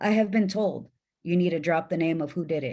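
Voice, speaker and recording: Set against a quiet background, a woman with a strong Mexican accent speaks in a fairly low voice with a dark, mellow tone and ordinary pitch variation. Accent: Mexican accent, fairly thick. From Mexican-American, US Midwest. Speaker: trafficking survivor, panelist. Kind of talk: panel discussion. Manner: emphatic.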